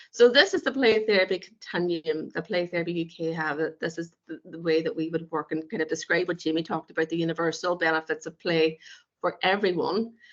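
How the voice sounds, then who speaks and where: This woman talks very fast in a Northern Irish accent, her pitch fairly low. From Northern Ireland. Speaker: play therapist. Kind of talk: webinar presentation. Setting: online webinar.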